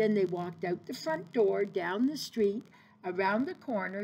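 Someone reads the text aloud in a plain manner.

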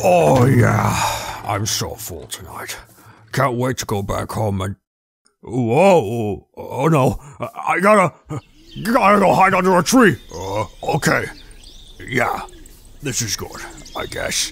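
At a very slow pace with long, frequent pauses, a man puts on a character voice at a fairly high pitch. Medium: machinima. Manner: panicked, pleading.

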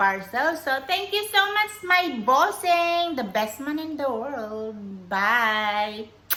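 A woman speaks at a very slow pace with a bright, sharp tone. Her pitch swings very widely, and the room echo is audible. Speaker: vlogger. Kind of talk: casual unboxing vlog. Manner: chatty, filler-heavy.

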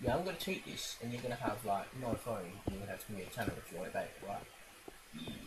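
Talking at a very fast pace with hardly any pauses, a man at medium pitch makes very wide pitch swings against noticeable background noise. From Scotland. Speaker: gaming YouTuber. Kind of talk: gameplay commentary. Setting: home recording with microphone. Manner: animated.

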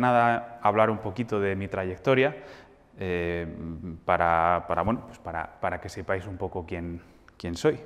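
Speaking at a fairly slow pace, a man uses a fairly low pitch and lively intonation. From Spain, Madrid. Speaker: jazz pianist and music teacher; music teacher. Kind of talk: masterclass lecture. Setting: hall with live audience. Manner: halting, many fillers. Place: hall. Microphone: lapel.

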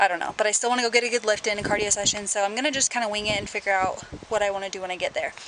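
A woman at a very fast pace, dry sound with no echo, noticeable background noise. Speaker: fitness vlogger. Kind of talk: casual vlog chat. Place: street. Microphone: phone near.

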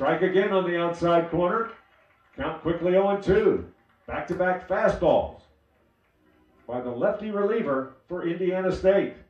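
With music in the background, a man at a high pitch speaks at a fairly slow pace with long, frequent pauses. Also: ordinary pitch variation. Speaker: sports commentator. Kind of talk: live baseball play-by-play commentary. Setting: streamed broadcast. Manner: fluent, steady, descriptive, building tension at key pitches.

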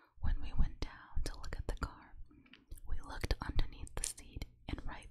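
Everything is whispered. It unfolds at a fairly slow pace. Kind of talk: true crime narration.

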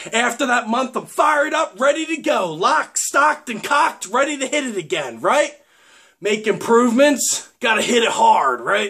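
The background stays quiet. Against it, a man talks at a moderate speed. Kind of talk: casual vlog chat. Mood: annoyed about magazine ads. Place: home room. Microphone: webcam.

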